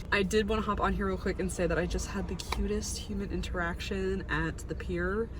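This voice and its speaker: A woman at a fairly quick pace with hardly any pauses, amid noticeable background noise. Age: 20s. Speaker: vlogger. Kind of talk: casual vlog talk to camera. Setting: outdoors at a pier at sunset. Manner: animated.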